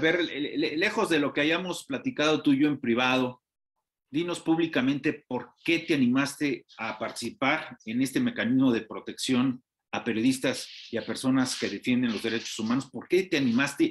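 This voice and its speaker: A man speaks with a Mexican accent at a fairly high pitch. His pace is moderate and his pitch variation ordinary. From Mexico. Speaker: TV news host. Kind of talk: TV interview. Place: office. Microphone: headset.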